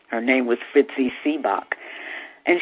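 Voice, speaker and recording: Over noticeable background noise, a woman speaks with an American accent. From US Midwest, Chicago. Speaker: singer and actress. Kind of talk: interview.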